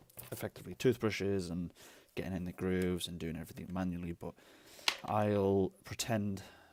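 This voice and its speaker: Very deep and low, a man's voice has a dark, mellow tone and fairly even intonation at a moderate pace. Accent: British. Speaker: retro console restorer. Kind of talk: tutorial talk to camera. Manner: casual, chatty.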